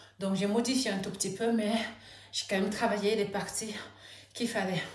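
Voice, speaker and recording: A woman speaks at a medium pitch in a monotone, flat way. There is audible echo in the room. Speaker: vlogger. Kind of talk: personal vlog. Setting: at home. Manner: halting.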